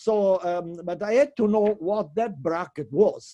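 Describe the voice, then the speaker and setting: This man has a dark, mellow tone. His pitch varies in an ordinary way. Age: 80s+. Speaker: physics professor. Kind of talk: Q&A answer in academic debate. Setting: teleconference. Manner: halting, many fillers.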